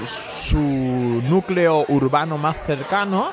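A man with a fairly high pitch speaks in a lively, bouncing tone while crowd noise carries on behind him. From Bangladesh. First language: Bengali (speaking Spanish). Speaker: immigrant sharing life story. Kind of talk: casual interview. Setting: bar.

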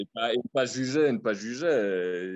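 A man is speaking. He has a slight Liège accent. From Belgium, Liège. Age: 30s. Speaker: expat. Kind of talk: casual interview. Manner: halting.

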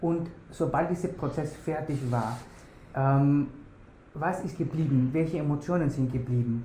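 Amid audible room echo, a man speaks fairly slowly with long, frequent pauses, a dark, mellow, somewhat breathy tone and fairly even intonation. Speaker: fashion designer and podcast host. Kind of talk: interview. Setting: office. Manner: halting, many fillers.

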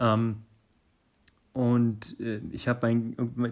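A man speaks at a medium pitch. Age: 30s. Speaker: listener submission. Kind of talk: testimony. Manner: halting.

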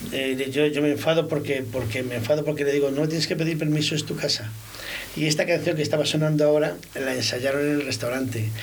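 Against noticeable background noise, a man rattles along at a very fast pace, his fairly high pitch held in fairly even intonation. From Spain, Valladolid (Girón neighbourhood). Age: 50s. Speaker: restaurant owner. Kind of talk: casual chat. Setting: studio.

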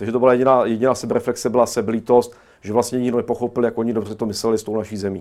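A man's flat, monotone delivery at medium pitch and a very fast pace, on a very clean recording with a silent background. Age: 40s. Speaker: historian. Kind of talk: studio interview. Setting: studio. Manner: halting.

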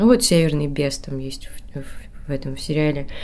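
A woman speaks with ordinary pitch variation. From Kudymkar, Perm region. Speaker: actress. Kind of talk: casual chat. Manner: animated, halting with fillers.

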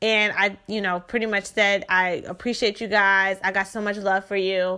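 A woman with an American accent speaks at a moderate pace and medium pitch, using fairly even intonation and a bright, sharp tone. The recording is very clean, with a silent background. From Shreveport, Louisiana. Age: 20s. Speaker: podcast host, credit consultant. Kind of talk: personal storytelling monologue. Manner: casual, chatty.

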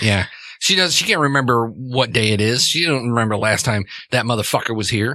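With fairly even intonation, the speaker uses a natural reading voice.

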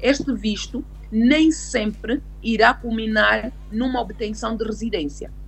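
A woman speaking over noticeable background noise. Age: 30s. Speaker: lawyer. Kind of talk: interview on immigration law.

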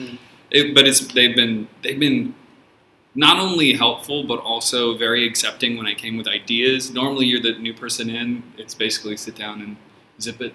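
In a plain, everyday voice with an American accent, the speaker goes at a fairly quick pace with fairly even intonation and big swings in loudness. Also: man, medium pitch for a man. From San Francisco, US. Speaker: teacher. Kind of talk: casual chat. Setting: studio.

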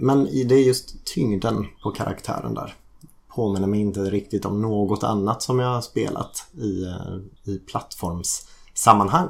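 Using a normal speaking voice, a man talks with pitch that varies in an ordinary way. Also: fairly low pitch for a man, fairly slow pace. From Sweden, Gothenburg. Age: 40s. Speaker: teacher, podcast guest. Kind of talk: casual chat.

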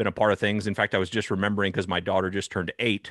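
A man with a West Coast accent. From Northern California, Sonoma County. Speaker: agriculture podcast host and recruitment founder. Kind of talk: interview conversation.

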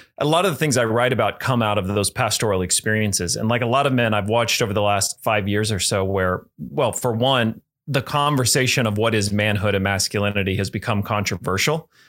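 A man's fairly low-pitched, normal speaking voice at a fairly quick pace, with ordinary pitch variation, very even loudness, hardly any pauses, and a very clean recording with a silent background. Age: 30s. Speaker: pastor and author. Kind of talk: interview.

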